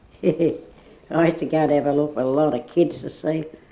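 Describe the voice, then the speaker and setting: With an Australian accent, a woman speaks in a very deep, low pitch and a dark, mellow tone. Her pace is moderate, and vocal fry runs through her voice. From Woolloomooloo, Sydney, Australia. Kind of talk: oral history interview answer.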